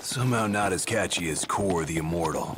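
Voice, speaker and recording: Over clear background noise, a man does a cartoonish character voice, pitched very deep and low, at a fairly quick pace. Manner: bright, chatty.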